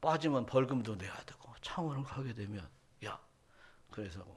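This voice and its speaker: A somewhat breathy man with a Jeolla accent, amid audible room echo. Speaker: pastor. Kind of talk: sermon. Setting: church.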